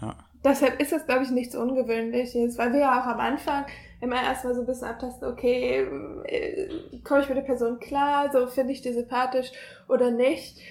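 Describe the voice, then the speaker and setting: A woman talks at a fairly quick pace and high pitch in a monotone, flat intonation. Her speech has long, frequent pauses. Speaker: university student. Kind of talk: casual chat. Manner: soft-spoken.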